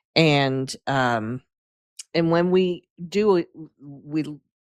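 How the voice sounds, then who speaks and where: A woman's very deep, low voice with ordinary pitch variation, dry and close with no echo, on a very clean recording over a silent background. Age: 60s. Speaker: coffee educator. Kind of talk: casual interview chat.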